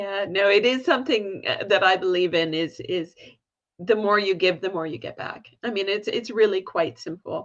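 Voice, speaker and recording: A woman with a Canadian accent speaks in a plain, everyday voice at medium pitch, with ordinary pitch variation and a moderate pace. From Canada. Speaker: volunteer management consultant. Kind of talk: interview conversation.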